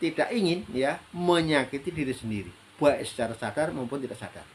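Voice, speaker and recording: A man's pitch rises and falls very widely as he speaks at a fairly quick pace. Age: 60s. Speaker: health practitioner sharing life advice. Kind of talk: solo talk / monologue. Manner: hesitant, many fillers.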